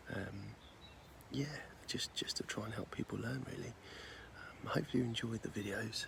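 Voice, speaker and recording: A soft-spoken man with an English accent talks at a fairly quick pace over noticeable background noise. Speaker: angler and video creator. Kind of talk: casual vlog to camera. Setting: outdoors at a lake. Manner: hesitant, many fillers.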